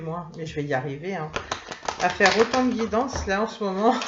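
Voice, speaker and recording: Lively intonation marks a woman's medium-pitched speech. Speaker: tarot and oracle card reader. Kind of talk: oracle card reading for viewers. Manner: hesitant, many fillers.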